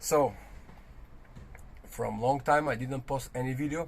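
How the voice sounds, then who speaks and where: A somewhat breathy man with an Albanian accent, medium pitch and a fairly slow pace. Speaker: car restoration vlogger. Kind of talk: casual vlog. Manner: halting.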